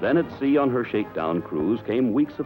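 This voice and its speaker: Music can be heard behind the voice. Its intonation rises and falls in a lively way. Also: man. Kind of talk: wartime newsreel narration.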